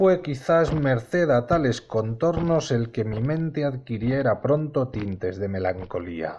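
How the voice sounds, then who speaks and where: Spoken with a Castilian accent at a very slow pace, the delivery has hardly any pauses and very wide pitch swings, with noticeable background noise. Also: man, medium pitch for a man. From Spain. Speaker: audiobook narrator. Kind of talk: audiobook reading.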